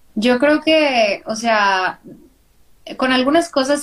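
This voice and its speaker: A woman speaks at a very slow pace in a high pitch. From northern Mexico, Monterrey. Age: 30s. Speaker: graphic designer and podcaster. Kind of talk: casual interview. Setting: live video stream.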